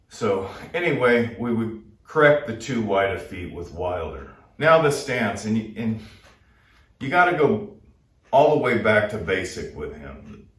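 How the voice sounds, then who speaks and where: Over audible room echo, a man at medium pitch speaks at a fairly slow pace with very wide pitch swings, big swings in loudness and long, frequent pauses. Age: 60s. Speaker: boxing trainer. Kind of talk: tutorial. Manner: casual, conversational.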